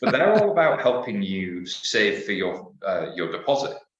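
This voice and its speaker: Audible room echo surrounds the speech. A man talks at a moderate pace with a British accent. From United Kingdom. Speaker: fintech panelist. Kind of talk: panel discussion.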